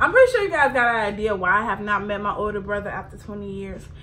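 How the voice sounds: A woman talks at a medium pitch with a bright, sharp tone and ordinary pitch variation.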